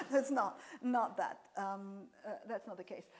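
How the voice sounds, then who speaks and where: A woman speaks with a slight non-native accent at a fairly high pitch. Her pace is fairly slow and her intonation lively. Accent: slight foreign accent in English. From Serbia. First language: Serbian. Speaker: professor. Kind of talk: lecture Q&A.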